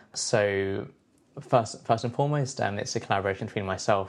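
Against a quiet background, a man with a London accent speaks in a fairly low voice with fairly even intonation. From London, England. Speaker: composer. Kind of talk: interview. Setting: at home. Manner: hesitant, many fillers.

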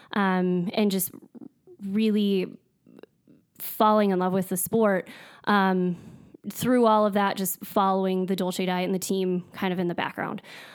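A woman speaks at a medium pitch with a strong North Dakota accent and monotone, flat intonation. Her pace is fairly slow, and the recording is very clean with a silent background. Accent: strong Upper Midwest North Dakota. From US Upper Midwest (North Dakota). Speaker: dietitian. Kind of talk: casual interview. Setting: studio.

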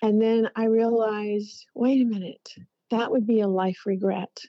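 A woman with a fairly high pitch, an unremarkable speaking voice, at a moderate pace. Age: 60s. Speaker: life coach and former TV host. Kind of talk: interview.

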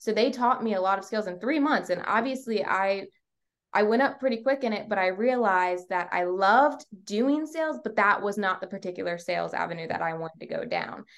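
With an American accent, a woman speaks at a medium pitch and a fairly quick pace, her intonation lively. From Virginia, Portsmouth and York County. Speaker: realtor. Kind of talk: interview.

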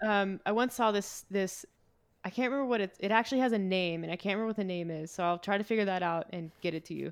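Very fast speech with ordinary pitch variation in a very clean recording with a silent background. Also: woman, medium pitch for a woman. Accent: slight Canadian. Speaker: fitness and nutrition coach. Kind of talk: casual chat.

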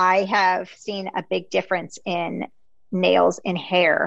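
Very slowly, a woman talks in a fairly low pitch with vocal fry. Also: quiet background. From US, Greek immigrant family. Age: 40s. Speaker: podcast host and health coach. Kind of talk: casual interview chat.

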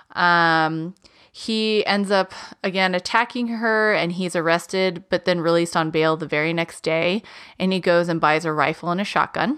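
A woman speaks with fairly even intonation in an ordinary speaking voice. The recording is very clean, with a silent background. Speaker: true crime podcast co-host. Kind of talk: casual storytelling chat.

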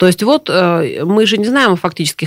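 A woman with a fairly low pitch uses a normal speaking voice. She speaks at a moderate pace with lively intonation. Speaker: government official, deputy minister of social protection. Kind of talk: live radio interview answering listener questions. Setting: radio studio, live broadcast. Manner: formal, explanatory.

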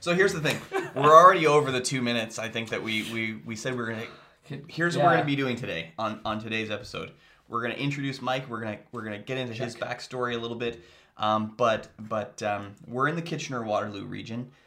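Using an ordinary speaking voice, a man talks at a fairly quick pace with medium pitch and ordinary variation. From Canada, Kitchener-Waterloo region. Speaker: podcast host.

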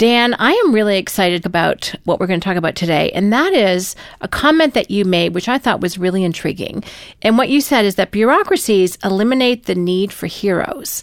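The speaker has an unremarkable speaking voice, talking at a fairly quick pace with lively intonation. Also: woman, medium pitch for a woman. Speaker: podcast host. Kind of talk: casual interview chat.

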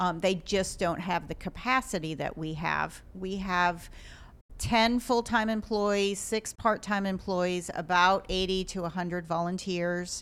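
A woman's normal speaking voice with an American accent, medium in pitch and fairly slow, on a very clean recording with a silent background. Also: fairly even intonation. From Ohio. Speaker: wildlife hospital director. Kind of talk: casual interview.

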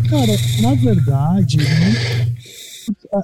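A man is speaking. Music plays in the background. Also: dry, close sound with no echo. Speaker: podcast co-host, music reviewer. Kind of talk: casual chat. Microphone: too far from the microphone, muffled.

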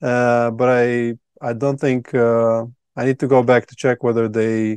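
The delivery is fairly slow, and the sound is dry and close with no echo. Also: man. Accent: Latvian. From Latvia. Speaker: retreat founder. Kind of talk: casual interview chat.

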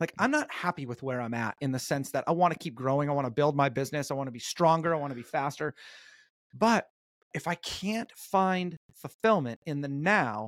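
Recorded very cleanly against a silent background, an ordinary speaking voice with an American accent comes through dry and close with no echo. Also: man. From Southern California, North Orange County. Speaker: performance coach and author. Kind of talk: interview. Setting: podcast.

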